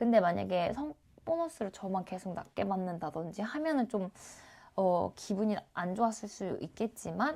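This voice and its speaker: A woman's voice with very wide pitch swings. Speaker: YouTuber, cybersecurity worker. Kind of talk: casual vlog talk. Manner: hesitant, many fillers.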